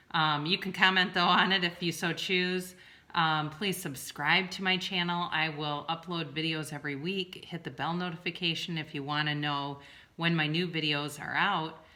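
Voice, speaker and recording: A woman speaks with a strong Midwestern US accent at a fairly low pitch. Her tone is bright and sharp, and her intonation is fairly even. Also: moderate pace. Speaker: tarot reader and licensed therapist. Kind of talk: tarot reading video. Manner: casual, with many fillers.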